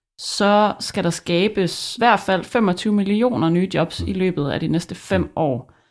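The recording is very clean, with a silent background. It carries a normal speaking voice with ordinary pitch variation. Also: woman. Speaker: podcast host. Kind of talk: scripted narration.

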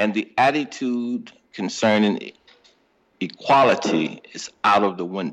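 In an American accent and a normal speaking voice, a man speaks at a fairly slow pace and fairly low pitch, with ordinary pitch variation and big swings in loudness. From St. Louis, Missouri. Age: 60s. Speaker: podcast guest, host's father. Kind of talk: casual interview.

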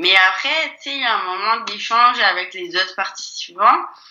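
A woman's voice at a fairly slow pace. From France. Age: 20s. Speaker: actress. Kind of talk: casual chat.

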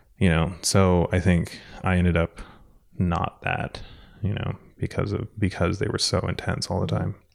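At a moderate pace, a man with an American accent speaks in a very deep, low pitch with ordinary pitch variation. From San Diego, California. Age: 30s. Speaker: art director, podcast guest. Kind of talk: casual chat.

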